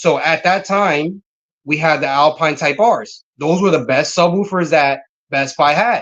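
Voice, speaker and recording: Using an ordinary speaking voice, a man talks fairly slowly at a fairly high pitch, with ordinary pitch variation and very even loudness. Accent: American. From Connecticut. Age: 30s. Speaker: car audio business owner. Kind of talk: casual interview chat.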